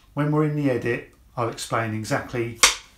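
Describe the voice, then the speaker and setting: Audible room echo surrounds a man talking at a moderate pace. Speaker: woodworking channel host. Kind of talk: tutorial. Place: workshop. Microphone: lapel.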